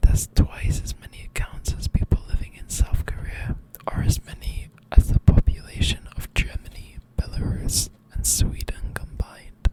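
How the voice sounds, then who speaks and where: The voice is whispering in a relaxed tone. Noticeable background noise is present. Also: moderate pace. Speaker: ASMR creator. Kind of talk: ASMR whispered fact reading. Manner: whispered, soft, relaxed.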